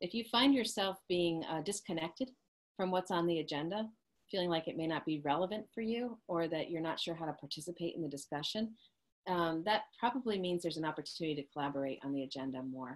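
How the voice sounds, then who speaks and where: At a very fast pace, a woman with a fairly low pitch speaks with lively intonation. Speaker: leadership coach. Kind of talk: webinar presentation.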